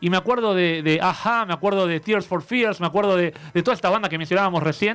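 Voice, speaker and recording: A man's high voice at a very fast pace, with ordinary pitch variation and very even loudness. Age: 30s. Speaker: radio music columnist. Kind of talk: casual chat.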